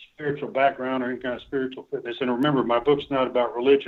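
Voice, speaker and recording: His voice sits fairly high for a man. The man rattles through his words at a very fast pace. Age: 60s. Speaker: retired army general and author. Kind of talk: interview.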